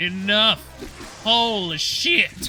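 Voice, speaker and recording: A man with an American accent speaks in a raised, projected voice at a high pitch. Noticeable background noise can be heard. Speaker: gaming youtuber. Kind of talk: gameplay commentary. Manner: fast; mumbling.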